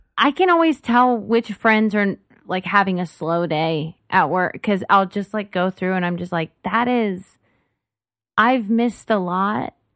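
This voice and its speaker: Speaking at a fairly slow pace, a woman with an American accent uses an ordinary speaking voice at medium pitch with ordinary pitch variation. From Dallas-Fort Worth, Texas. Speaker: comedian. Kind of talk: casual chat.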